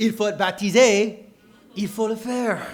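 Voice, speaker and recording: Speaking at a very slow pace, a man with an American accent has a high pitch. The room echo is audible. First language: English (speaking French). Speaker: preacher. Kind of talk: sermon. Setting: church. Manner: halting, repeats words; animated.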